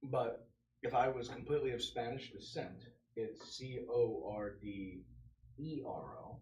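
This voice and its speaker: In a somewhat breathy voice with an American accent, a man of medium pitch and ordinary pitch variation talks at a fairly slow pace amid audible room echo. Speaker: podcast co-host. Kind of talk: casual chat. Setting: live podcast stream.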